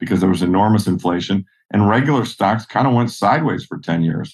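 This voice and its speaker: A man with an unremarkable speaking voice talks at a moderate pace over a quiet background. His pitch is fairly low, with ordinary variation. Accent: American. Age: 60s. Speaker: investor. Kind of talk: interview.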